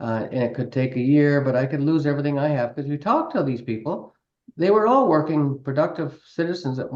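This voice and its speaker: Talking at a very fast pace, a man with a Canadian accent has a fairly high pitch. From Canada, Ontario (Brantford). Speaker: city councillor. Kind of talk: interview.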